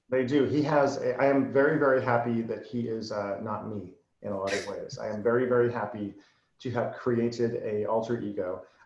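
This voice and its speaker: There's audible room echo as a man with an American accent speaks at a fairly quick pace. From Massachusetts. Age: 40s. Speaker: marketer and copywriter. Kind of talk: interview. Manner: fast; boisterous.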